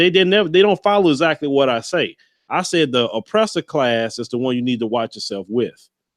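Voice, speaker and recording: A man talks at a fairly quick pace with a Southern US accent. His fairly high voice makes very wide pitch swings. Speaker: YouTube commentator. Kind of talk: interview. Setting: livestream video call.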